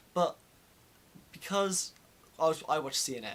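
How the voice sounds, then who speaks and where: A man with a British accent speaks with ordinary pitch variation. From UK. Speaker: vlogger. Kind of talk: casual chat. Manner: animated.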